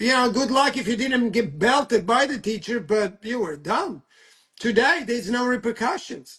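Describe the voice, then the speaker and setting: With a non-native accent, a man speaks at a moderate pace in an extremely high pitch, his bright, sharp tone carrying lively intonation. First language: not English. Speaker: talk show host. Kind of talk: casual chat. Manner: halting.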